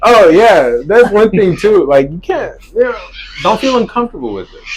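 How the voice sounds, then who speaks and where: Over noticeable background noise, a man with an American accent talks at a moderate pace, his loudness swinging widely. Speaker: DJ. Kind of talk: casual interview chat.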